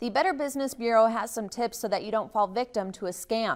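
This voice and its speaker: A woman with an American accent and an unremarkable speaking voice, fairly high-pitched, with ordinary pitch variation and a fairly quick pace, in a very clean recording with a silent background. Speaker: TV news anchor and reporter. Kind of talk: TV news package voiceover.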